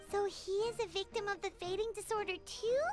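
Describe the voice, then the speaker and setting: A put-on character voice at an extremely high pitch and a fairly quick pace, with clear music in the background. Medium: video game.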